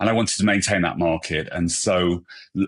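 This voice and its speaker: In a British accent, a man speaks with a dry, close sound that has no echo. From England. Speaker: hairstylist and brand ambassador. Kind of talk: podcast interview. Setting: podcast recording.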